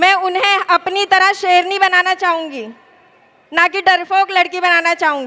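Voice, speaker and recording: A woman's extremely high voice carries ordinary pitch variation. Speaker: political candidate, lawyer. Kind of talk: campaign rally speech. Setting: stage with audience. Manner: gentle tone.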